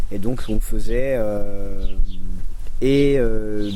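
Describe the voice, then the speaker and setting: His intonation stays fairly even as the man speaks. Audible room echo and noticeable background noise fill the recording. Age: 30s. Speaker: community educator and activist. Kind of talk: interview. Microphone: poor recording quality.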